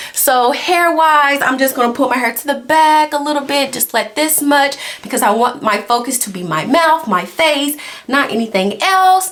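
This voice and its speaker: Her high voice swings very widely in pitch as the woman talks at a moderate pace against noticeable background noise. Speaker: social work doctoral student and vlogger. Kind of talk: casual vlog. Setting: library. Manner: animated; whispering.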